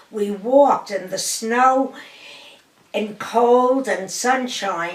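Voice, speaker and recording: A woman with a New York accent talks at a very slow pace, her fairly high pitch showing ordinary variation. Audible room echo and noticeable background noise fill the recording. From Brooklyn, New York. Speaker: grandmother sharing family history. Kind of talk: oral history interview.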